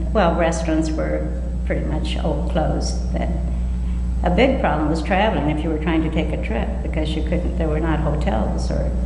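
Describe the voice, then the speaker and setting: An American accent comes through in a flat monotone at a moderate pace. Noticeable background noise sits behind the speech. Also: woman. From United States, Iowa. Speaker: oral history interviewee, retired community volunteer. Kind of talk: oral history interview answer. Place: hall. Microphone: podium.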